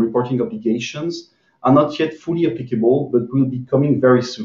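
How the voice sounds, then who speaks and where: Somewhat breathy, a man speaks at a fairly quick pace with ordinary pitch variation and audible room echo. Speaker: panelist. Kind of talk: webinar presentation. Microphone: video call.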